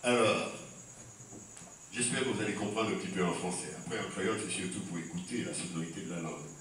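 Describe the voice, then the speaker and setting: A man with a very deep, low voice talks at a fairly quick pace, with ordinary pitch variation and long, frequent pauses. There is noticeable background noise. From Martinique. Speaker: poet and storyteller. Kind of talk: talk to audience. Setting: live audience.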